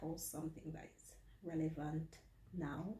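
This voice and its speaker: Amid audible room echo, a woman with a dark, mellow tone and vocal fry speaks at a fairly slow pace. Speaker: vlogger and HR administrator. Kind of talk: casual vlog narration. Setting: office. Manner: soft-spoken.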